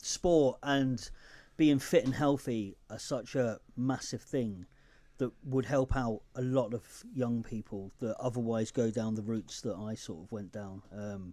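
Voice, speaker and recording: With a southern English accent, a man speaks slowly in a dark, mellow tone at a medium pitch with ordinary pitch variation. His loudness swings widely. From Newcastle, north-east England. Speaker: podcaster and charity founder. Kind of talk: radio interview.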